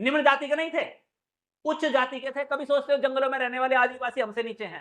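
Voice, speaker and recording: A man speaks with an extremely high pitch. His tone is bright, sharp and animated. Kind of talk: religious discourse. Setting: temple with audience. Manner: loud.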